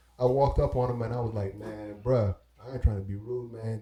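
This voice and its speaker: Somewhat breathy and dark, mellow in tone, a man with an American accent speaks at a medium pitch and a fairly quick pace. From Brooklyn, New York and Belize. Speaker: hip-hop artist and DJ. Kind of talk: casual interview storytelling.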